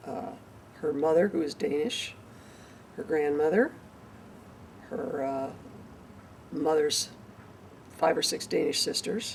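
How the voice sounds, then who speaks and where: Over noticeable background noise, a woman with a Midwestern American accent speaks at a moderate pace in a fairly low pitch with very wide pitch swings. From northern Indiana, US Midwest. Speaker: parent recounting family history. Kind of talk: oral history interview.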